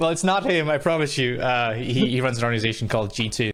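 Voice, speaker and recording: A man at a medium pitch, very fast and very even in loudness, with lively intonation and noticeable background noise. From Scotland. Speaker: podcast host. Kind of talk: podcast interview questions.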